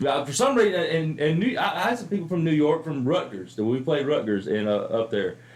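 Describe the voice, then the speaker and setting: With an American accent, a man talks at a fairly quick pace with hardly any pauses, his fairly high pitch making very wide swings over noticeable background noise. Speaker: comedian and podcast host. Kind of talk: casual chat.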